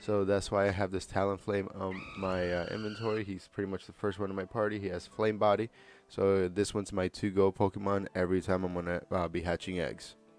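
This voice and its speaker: Music plays behind a man speaking at a fairly quick pace. His fairly low voice stays monotone and flat. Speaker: gaming guide creator. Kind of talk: game tutorial voiceover. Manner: casual, filler-heavy.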